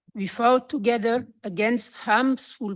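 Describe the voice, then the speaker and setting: A woman speaks with a non-native accent at a very slow pace. The background is quiet. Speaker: activist. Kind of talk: conference speech.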